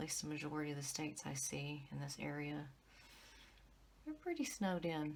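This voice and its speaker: Quiet and very deep in pitch, a woman speaks at a moderate pace with audible room echo. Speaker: tarot reader. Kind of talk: tarot reading. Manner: quiet, low voice. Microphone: audio issues, fix coming.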